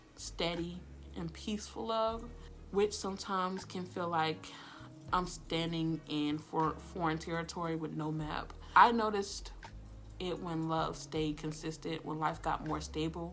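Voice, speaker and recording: A woman with an American accent amid audible room echo and music in the background. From Florida. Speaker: lifestyle and healing vlogger. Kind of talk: personal reflective monologue. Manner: fast-talking; casual, filler-heavy.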